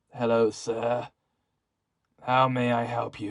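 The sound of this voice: A man puts on a raspy character voice, medium in pitch, speaking at a fairly slow pace in a monotone, flat way.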